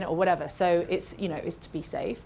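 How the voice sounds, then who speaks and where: A woman with a British accent and fairly low pitch, with audible room echo. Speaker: makeup artist educator. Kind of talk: live masterclass Q&A. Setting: stage with live and Zoom audience.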